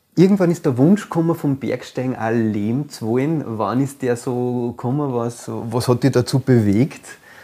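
In an Upper Austrian accent, a man speaks with a dark, mellow tone. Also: medium pitch for a man, ordinary pitch variation, moderate pace. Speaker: podcast host. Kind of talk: interview conversation.

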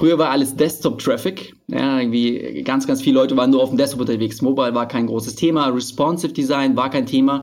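A man's medium-pitched voice at a moderate pace, fairly even in intonation, a plain, everyday voice. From Berlin, Germany. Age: 30s. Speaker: online marketing entrepreneur. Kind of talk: podcast interview.

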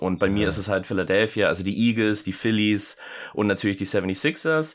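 On a very clean recording with a silent background, a man races along at a very fast pace and medium pitch. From Germany, American parents. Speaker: sportswear retail employee. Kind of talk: casual chat. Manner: hesitant, many fillers.

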